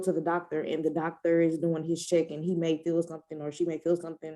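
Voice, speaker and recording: A woman with an American accent speaks in a fairly low pitch, her tone dark and mellow. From US Midwest, East St. Louis, Illinois. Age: 30s. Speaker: breast cancer survivor. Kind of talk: interview testimony.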